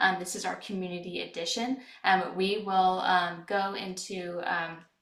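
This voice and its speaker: A woman's monotone, flat delivery with big swings in loudness and audible room echo. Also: medium pitch for a woman, moderate pace. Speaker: webinar host, product manager. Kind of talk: webinar presentation. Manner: soft-spoken; hesitant, many fillers.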